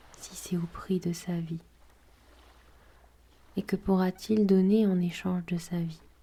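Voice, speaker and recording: A woman's calm, soothing voice, dark and mellow, somewhat breathy, at a medium pitch with monotone, flat intonation, a very slow pace and long, frequent pauses. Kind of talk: guided prayer and gospel reading.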